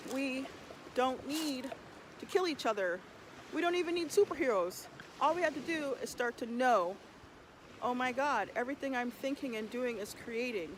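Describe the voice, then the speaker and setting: At a moderate pace with long, frequent pauses, a woman with an American accent talks in a high pitch with lively intonation. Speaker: vocal alchemist, healer and performance artist. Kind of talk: spiritual meditation talk, casual and passionate. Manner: emphatic, passionate, conversational, sassy.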